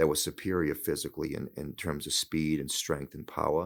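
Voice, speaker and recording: In a Boston accent, the speaker talks at a moderate pace on a very clean recording with a silent background. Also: man. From Boston area, US. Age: 60s. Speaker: hockey head coach. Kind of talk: interview conversation. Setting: studio.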